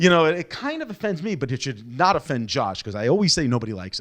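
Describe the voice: At a fast pace, the fairly bright voice moves through big pitch swings. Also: man, fairly high pitch for a man.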